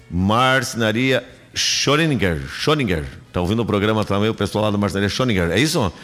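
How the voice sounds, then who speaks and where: This man has a fairly low pitch and an animated tone with lively intonation. His loudness stays very even. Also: fairly quick pace. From Rio Grande do Sul, Brazil. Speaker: radio host. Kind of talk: live radio talk show.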